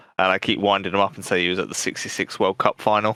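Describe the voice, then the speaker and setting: With a southern English accent, a man speaks in a bright, sharp tone, recorded with a dry, close sound and no echo. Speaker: podcast co-host. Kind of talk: casual chat.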